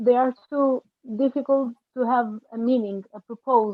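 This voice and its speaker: A woman with a non-native accent speaks in a high voice, her pitch moving in an ordinary way. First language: not English. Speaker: film director. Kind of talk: panel discussion. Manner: halting.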